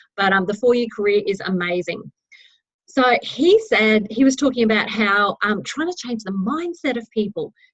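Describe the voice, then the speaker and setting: A woman with an Australian accent speaks in a fairly high pitch at a moderate pace. Her voice is somewhat breathy, and her tone is enthusiastic. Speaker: network marketing team leader. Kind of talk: team training talk.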